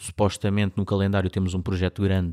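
Very fast speech from a man in a European Portuguese accent, very deep and low in pitch, with a dark, mellow tone and a dry, close sound with no echo. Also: very clean recording, silent background. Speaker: podcast co-host. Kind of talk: casual chat.

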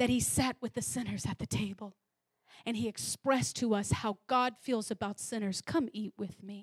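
Somewhat breathy and animated, a woman with a fairly high pitch speaks at a moderate pace with ordinary pitch variation, in a dry, close sound with no echo. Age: 30s. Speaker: preacher. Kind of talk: sermon. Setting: church.

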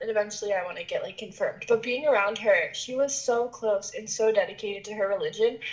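An unremarkable speaking voice, this woman's is fairly high in pitch, with ordinary pitch variation and a fairly quick pace. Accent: American. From West Virginia, US. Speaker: interviewee. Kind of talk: casual interview.

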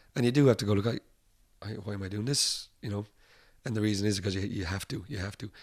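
Delivered at a very fast pace in an Irish accent, the speech has fairly even intonation and long, frequent pauses. The recording is very clean, with a silent background. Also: man, fairly low pitch for a man. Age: 30s. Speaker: rock musician. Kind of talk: casual chat. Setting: upstairs at a bar.

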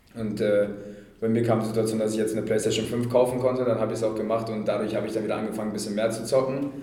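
Very fast speech in a monotone, flat intonation comes through audible room echo and noticeable background noise. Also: man, medium pitch for a man. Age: 20s. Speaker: professional ice hockey player. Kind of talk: interview. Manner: hesitant with fillers.

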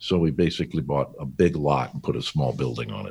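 A man with an American accent. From US West Coast, California. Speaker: business founder and CEO. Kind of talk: interview. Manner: halting.

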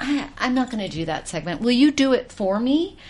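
Her pitch swinging very widely, a woman talks with an American accent. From US South, Georgia. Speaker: TV style expert. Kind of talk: casual chat.

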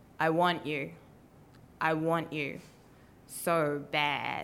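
This woman has a very deep, low voice with vocal fry. She speaks with a New Zealand accent. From New Zealand, Wellington. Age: 20s. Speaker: storyteller, writer and policy advisor. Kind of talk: live storytelling. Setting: stage with audience.

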